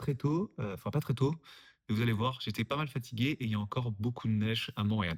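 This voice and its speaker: A somewhat breathy man speaks at a fairly quick pace, with a dry, close sound with no echo on a very clean recording with a silent background. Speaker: vlogger and app developer. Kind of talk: casual vlog.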